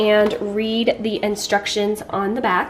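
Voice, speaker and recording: A woman speaks over noticeable background noise. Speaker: mom lifestyle vlogger. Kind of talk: sponsored review and cooking demo.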